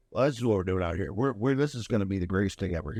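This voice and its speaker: A man puts on a raspy character voice, pitched fairly low. He talks at a very fast pace. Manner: excited, enthusiastic.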